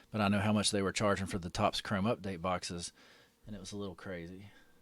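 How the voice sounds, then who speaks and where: Recorded very cleanly against a silent background, a man speaks at a very fast pace. He has a fairly low voice and a Southern US accent. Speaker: card break livestream host. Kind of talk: casual livestream chat. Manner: casual, many fillers.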